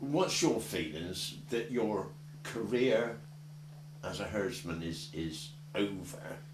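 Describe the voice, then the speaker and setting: With long, frequent pauses, a man speaks at a fairly low pitch that swings very widely, over noticeable background noise and audible room echo. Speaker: community archive interviewer. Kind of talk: oral history interview.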